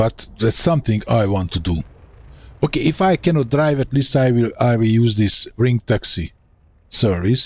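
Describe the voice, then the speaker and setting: A somewhat breathy man's voice at medium pitch and a moderate pace, with a Hungarian accent, lively intonation and very even loudness. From Hungary. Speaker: gaming streamer. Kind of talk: live gameplay commentary. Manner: casual, thinking aloud.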